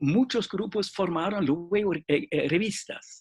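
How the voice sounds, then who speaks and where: Spoken at a fairly slow pace with a non-native accent, the voice shows ordinary pitch variation in a dry, close recording with no echo. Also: man. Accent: foreign accent in Spanish. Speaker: literature professor and journal director. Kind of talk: interview panel discussion. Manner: halting, many fillers and restarts.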